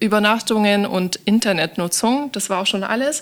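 A woman in a normal speaking voice talks at a moderate pace with a fairly high pitch. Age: 30s. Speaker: sustainability manager. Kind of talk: interview.

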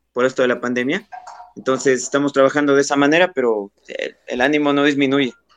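Over music in the background, a man speaks at a fairly quick pace with fairly even intonation. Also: fairly high pitch for a man. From Ecuador, Pelileo (Tungurahua). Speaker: radio announcer and producer. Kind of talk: interview. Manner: halting.

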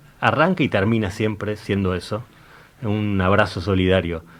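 A man with a fairly low pitch speaks at a moderate pace in an unremarkable speaking voice. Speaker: local political candidate. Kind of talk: political interview.

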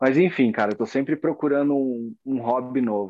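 Speaking in a plain, everyday voice, a man talks at a moderate pace with medium pitch and ordinary pitch variation. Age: 30s. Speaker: fingerboarder and graphic designer. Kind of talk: casual interview chat.

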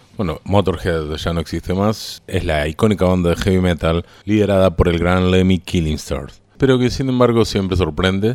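A man with a very deep, low voice at a moderate pace, hardly any pauses and ordinary pitch variation, on a very clean recording with a silent background. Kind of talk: radio dj patter introducing songs. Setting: radio studio. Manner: informal, conversational, fluent with brief song-history asides.

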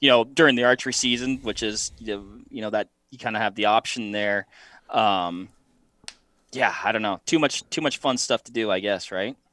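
Speaking at a moderate pace with an American accent, a man has a medium pitch, ordinary pitch variation, a bright, sharp tone and big swings in loudness. The sound is dry and close with no echo. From western Washington State. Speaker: optics company media staffer and podcast co-host. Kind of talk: casual interview chat. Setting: video call.

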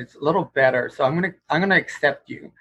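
A man's unremarkable speaking voice with an American accent, fairly quick pace and ordinary pitch variation. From Houston, Texas. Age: 60s. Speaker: guitarist and guitar teacher. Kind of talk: casual interview chat.

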